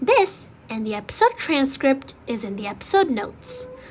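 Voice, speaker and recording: Over noticeable background noise, a woman with a high pitch talks with very wide swings in pitch. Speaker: English learning podcast host. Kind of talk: slow scripted teaching monologue. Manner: slow.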